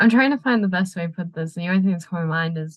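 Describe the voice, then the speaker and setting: This woman has a fairly low pitch and a somewhat breathy voice. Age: young. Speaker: podcast guest. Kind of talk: casual chat.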